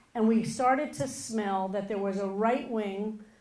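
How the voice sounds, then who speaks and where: Fairly slow speech from a woman at medium pitch, with an American accent, ordinary pitch variation and audible room echo. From US. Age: 50s. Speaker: rabbi. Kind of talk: keynote speech.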